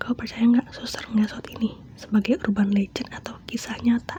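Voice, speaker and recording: A woman whispers, soft-spoken, at a fairly quick pace. Noticeable background noise runs underneath. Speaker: ASMR creator. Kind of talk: ASMR horror story reading to a close listener. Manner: soft-spoken, whispering, intimate.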